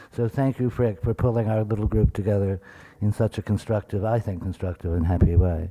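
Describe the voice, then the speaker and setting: A man mumbles in an American accent, his fairly low voice dark and mellow with fairly even intonation. The sound is dry and close with no echo, on a very clean recording with a silent background. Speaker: museum curator. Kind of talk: lecture. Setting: symposium with audience. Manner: mumbling.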